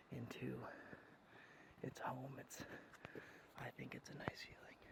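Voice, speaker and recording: Fairly slow whispering with long, frequent pauses over noticeable background noise. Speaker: ASMR creator. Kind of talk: ASMR nature walk talk to camera. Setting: outdoors. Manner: soft-spoken.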